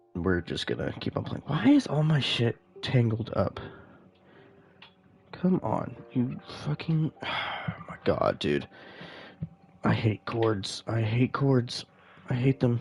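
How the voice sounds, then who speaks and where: Pausing long and often, a man speaks very slowly at a medium pitch with lively intonation. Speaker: gaming streamer. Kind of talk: live gameplay commentary. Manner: casual, hesitant with many fillers.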